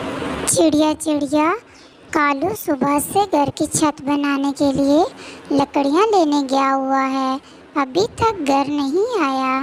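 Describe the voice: A female-sounding cartoonish character voice speaks at a very slow pace with a high pitch.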